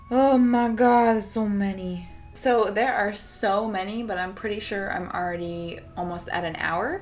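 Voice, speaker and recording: A woman of medium pitch, fairly slow with hardly any pauses and ordinary pitch variation, amid audible room echo and music in the background. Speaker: vintage fashion vlogger. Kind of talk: casual Q&A vlog.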